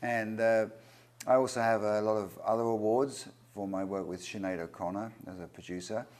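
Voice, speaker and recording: A man with an English accent, fairly low in pitch, at a moderate pace with fairly even intonation. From England. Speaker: record producer and singer-songwriter. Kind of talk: interview.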